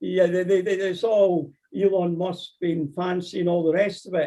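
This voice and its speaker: Speaking in a Scottish accent, a man has a high pitch and a dark, mellow tone. His pace is moderate. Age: 60s. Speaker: amateur astronomer lecturer. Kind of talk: Q&A after lecture. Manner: halting, repeats words.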